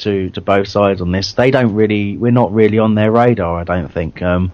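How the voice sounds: With a slightly mellow tone, a man speaks at a moderate pace.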